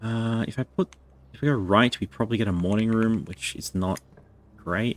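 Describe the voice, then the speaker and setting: This man talks at a moderate pace and medium pitch with ordinary pitch variation and an Australian accent, in a dry, close sound with no echo. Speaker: video game streamer. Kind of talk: live gameplay commentary. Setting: live stream.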